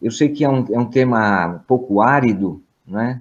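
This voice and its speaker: There is ordinary pitch variation as this man speaks. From Brazil. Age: 60s. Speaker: professor. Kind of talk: opening remarks at online lecture. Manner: hesitant, many fillers.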